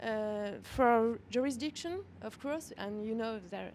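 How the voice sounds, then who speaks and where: A woman with a French accent, at a moderate pace with ordinary pitch variation. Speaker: audience questioner, law professor. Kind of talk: audience question.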